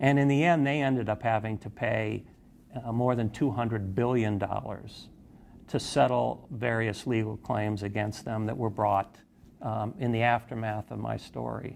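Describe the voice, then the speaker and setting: A man with an American accent, medium pitch, moderate pace and fairly even intonation. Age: 60s. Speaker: investigative journalist. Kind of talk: interview testimony. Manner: halting, many fillers and repetitions.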